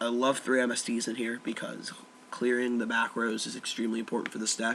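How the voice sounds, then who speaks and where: Noticeable background noise sits behind a man speaking at a medium pitch. He goes at a fairly quick pace in a monotone, flat intonation. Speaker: card game deck reviewer. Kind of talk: casual talk to camera. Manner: flat, low-energy.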